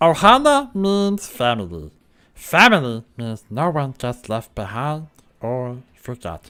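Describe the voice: Someone does a put-on character voice at a low-to-middle pitch. The pitch swings very widely, and the pace is fairly slow.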